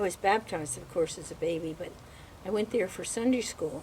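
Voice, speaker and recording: A woman with an American accent and ordinary pitch variation, over noticeable background noise. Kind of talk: interview answer.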